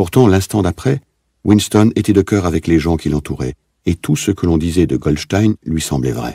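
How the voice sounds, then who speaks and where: A man's very deep, low voice with vocal fry, a dark, mellow tone and lively intonation, dry and close with no echo. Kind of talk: literary audiobook reading, scripted narration of a novel.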